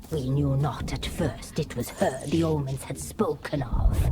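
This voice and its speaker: Someone does a put-on character voice at a low-to-middle pitch and a moderate pace, with clear background noise behind it. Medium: video game. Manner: eerie, menacing.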